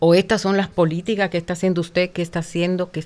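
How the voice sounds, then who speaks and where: Very fast and monotone, a woman talks with flat intonation at a fairly low pitch. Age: 60s. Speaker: women's rights advocate. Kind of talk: interview.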